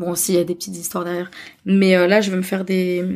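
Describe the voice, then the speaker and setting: This woman's voice sits at a medium pitch. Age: 30s. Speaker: podcaster. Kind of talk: casual chat.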